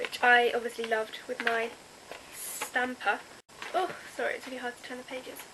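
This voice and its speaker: A woman with an English accent speaks high at a fairly quick pace, with fairly even intonation and long, frequent pauses. Her loudness swings widely against noticeable background noise. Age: young. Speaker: youtuber. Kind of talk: casual vlog.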